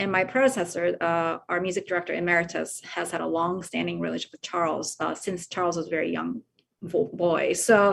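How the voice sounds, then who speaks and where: A woman speaks at a fairly quick pace over a quiet background. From Japan, moved to California at 14. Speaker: orchestra conductor. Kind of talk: interview conversation. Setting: video call. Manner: halting with many fillers.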